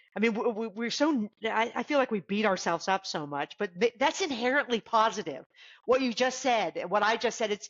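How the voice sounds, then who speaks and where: Her voice is an unremarkable speaking voice, fairly high in pitch for a woman. She talks at a moderate pace with lively intonation. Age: 50s. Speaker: podcast guest. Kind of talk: casual chat.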